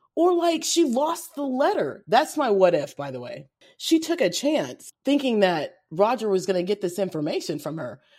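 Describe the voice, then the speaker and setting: A woman with a fairly high pitch speaks in an animated tone at a moderate pace, with very wide pitch swings, big swings in loudness, vocal fry and hardly any pauses. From Kentucky. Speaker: podcast host. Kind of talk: casual chat. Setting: video call.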